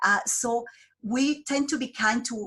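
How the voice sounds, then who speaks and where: Here a woman talks with a Colombian accent. Her tone is bright and sharp, and her pace is fairly slow. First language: Spanish. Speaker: job developer. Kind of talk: interview. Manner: halting.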